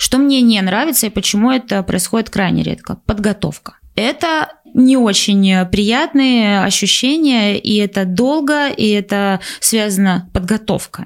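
With lively intonation, a woman uses a normal speaking voice at a medium pitch. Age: 20s. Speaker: podcast co-host. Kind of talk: casual chat.

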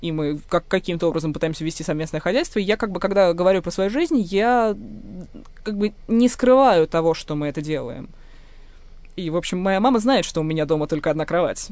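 Pausing long and often, a woman of medium pitch otherwise moves at a fairly quick pace. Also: lively intonation. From Moscow. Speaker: linguist and writer. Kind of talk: personal testimony.

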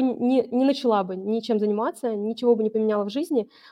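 Talking at a moderate pace, a woman uses a normal speaking voice. Her pitch is fairly high, with ordinary pitch variation. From Vologda, northern Russia. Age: 30s. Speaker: online seller and brand owner. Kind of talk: business case review interview.

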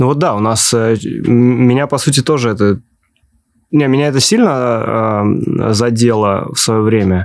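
At a very slow pace, a man speaks with long, frequent pauses and very even loudness. His pitch is medium, with ordinary variation. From Ulyanovsk, Russia. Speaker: podcast host. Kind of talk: casual interview conversation.

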